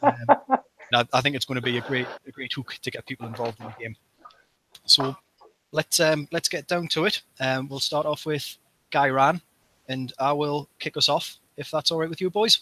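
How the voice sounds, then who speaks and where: Long, frequent pauses break up a man's speech. His tone is bright and sharp, with a dry, close sound and no echo. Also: fairly high pitch for a man, ordinary pitch variation, moderate pace. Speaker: tabletop gaming club member, podcast host. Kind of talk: casual chat.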